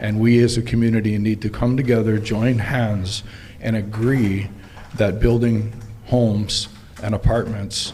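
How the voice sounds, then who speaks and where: A man's fairly low-pitched voice with monotone, flat intonation, audible room echo and noticeable background noise. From Hawaii, Maui. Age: 60s. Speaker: county council member and political candidate. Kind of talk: candidate forum speech.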